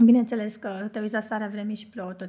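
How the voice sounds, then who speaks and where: A woman speaks in a normal speaking voice, fairly high in pitch. Her intonation stays fairly even over a very clean recording with a silent background. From Romania, Bucharest. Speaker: hairstylist and makeup artist. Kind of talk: casual chat.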